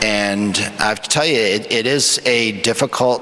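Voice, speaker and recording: A man talks at a medium pitch with fairly even intonation. There is noticeable background noise behind him. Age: 50s. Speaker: emergency physician, panelist. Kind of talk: panel discussion answer. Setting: conference stage with audience.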